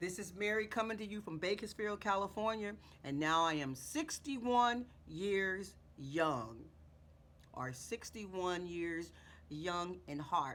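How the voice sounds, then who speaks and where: Using an ordinary speaking voice, a woman talks at a fairly slow pace with medium pitch and lively intonation. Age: 60s. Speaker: beauty vlogger. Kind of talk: tutorial. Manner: casual, repetitive.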